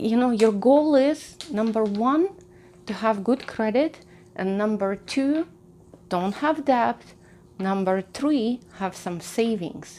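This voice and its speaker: A woman with a non-native accent speaks at a very slow pace. Her pitch is fairly high and her intonation lively. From outside the US, came to America at 25. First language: not English. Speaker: personal finance YouTuber. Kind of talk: casual advice talk to camera. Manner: conversational, with frequent fillers and restarts.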